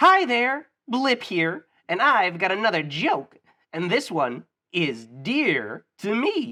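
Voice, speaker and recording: Against a quiet background, a man puts on a cartoonish character voice, high-pitched and very slow. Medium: puppet. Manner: upbeat, jokey.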